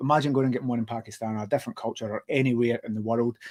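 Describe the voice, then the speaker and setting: A man with a Glaswegian accent at a very fast pace, the sound dry and close with no echo. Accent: Glaswegian Scottish. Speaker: podcast host. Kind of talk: interview. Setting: live stream.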